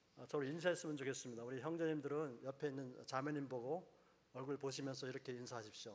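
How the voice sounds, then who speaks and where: Fairly quick delivery with fairly even intonation. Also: man. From Jeju Island, South Korea. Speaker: professor and lay speaker at church. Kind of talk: church lecture. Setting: church service with audience.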